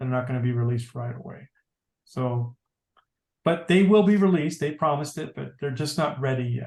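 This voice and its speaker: A man's somewhat breathy, fairly high voice at a fairly quick pace, with ordinary pitch variation. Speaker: tech class instructor. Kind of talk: tutorial. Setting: video call.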